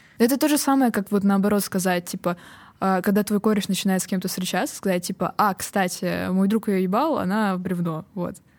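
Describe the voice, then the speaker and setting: A woman speaks at a moderate pace with a medium pitch and ordinary pitch variation, in an ordinary speaking voice. The recording is very clean, with a silent background. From Estonia. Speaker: comedian. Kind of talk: casual chat.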